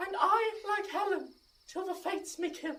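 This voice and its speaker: This put-on character voice is squeaky, with an extremely high pitch. It moves at a moderate pace. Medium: stage play. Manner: melodramatic.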